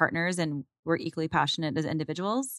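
In a dry, close sound with no echo, a woman with an American accent and an unremarkable speaking voice talks at a fairly quick pace, fairly low in pitch with ordinary pitch variation. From Arizona, Phoenix area. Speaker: company executive. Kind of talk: interview. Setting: studio.

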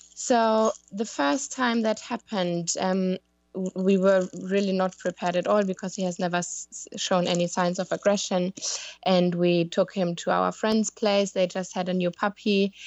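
With a German accent, a woman speaks at a medium pitch. Her intonation is fairly even and her pace moderate. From Germany. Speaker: dog owner asking for advice. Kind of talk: casual chat. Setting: Skype call.

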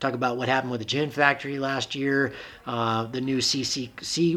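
Here a man uses an ordinary speaking voice at medium pitch. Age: 40s. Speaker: podcast host, paraglider pilot. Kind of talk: casual interview.

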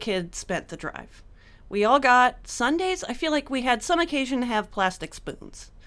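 The voice is loud, moving through very wide pitch swings at a moderate pace. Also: woman. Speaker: comedian. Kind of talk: casual chat.

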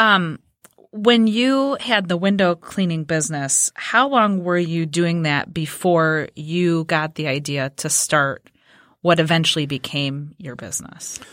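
A woman has a plain, everyday voice with a fairly low pitch. She speaks at a fairly slow pace with lively intonation. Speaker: co-host. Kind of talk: casual chat. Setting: studio.

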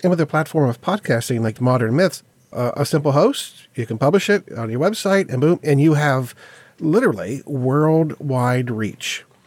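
An unremarkable speaking voice from a man, pitched fairly high, with lively intonation at a moderate pace. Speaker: podcast host. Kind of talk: casual podcast interview. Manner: chatty, easygoing.

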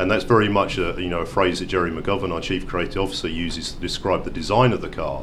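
Very fast delivery in a British accent, with noticeable background noise. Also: man. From UK. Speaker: car company executive. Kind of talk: interview. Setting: auto show.

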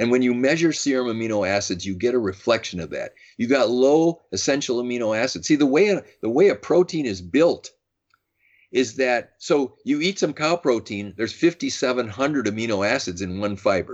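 Speaking in a plain, everyday voice, a man with an American accent uses lively intonation at a medium pitch. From US Midwest, Madison, Wisconsin. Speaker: physician. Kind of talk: interview.

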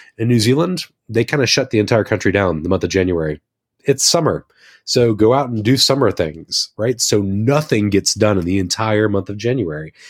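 A man with an ordinary speaking voice talks at a fairly quick pace with fairly low pitch and lively intonation, in a dry, close sound with no echo. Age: 30s. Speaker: returning former podcast co-host. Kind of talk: casual chat. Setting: remote studio.

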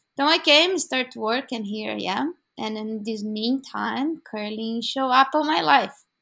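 In a Brazilian Portuguese accent, a woman speaks at a fairly slow pace with hardly any pauses, a bright, sharp tone and lively intonation, on a very clean recording with a silent background. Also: fairly high pitch for a woman. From Brazil, São Paulo. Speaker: curling club organizer. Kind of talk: interview.

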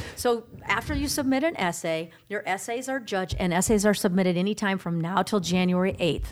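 A woman with an American accent, medium pitch and a moderate pace. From Sioux City, Iowa (US Midwest). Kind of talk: radio interview. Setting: radio studio.

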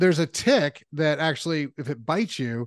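In a normal speaking voice, a man with a fairly high pitch speaks with ordinary pitch variation over a quiet background, with a dry, close sound and no echo. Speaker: podcast host. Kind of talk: casual interview chat.

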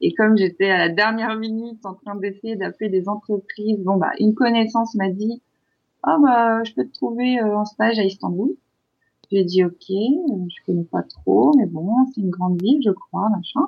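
Moderately paced with ordinary pitch variation, this is an unremarkable speaking voice. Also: woman, medium pitch for a woman. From France. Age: 30s. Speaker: expatriate in Turkey. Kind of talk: interview.

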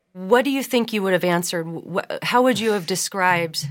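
Her intonation is lively, at a medium pitch for a woman, with a normal speaking voice. The recording is very clean, with a silent background. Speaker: podcast host. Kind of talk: casual interview.

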